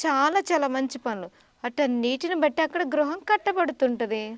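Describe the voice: A woman's voice is recorded with a dry, close sound and no echo.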